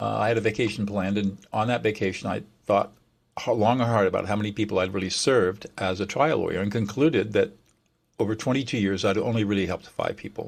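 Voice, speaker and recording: A man's fairly low voice in an American accent, very fast with fairly even intonation, on a very clean recording with a silent background. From southern California. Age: 70s. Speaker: mediator. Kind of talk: interview.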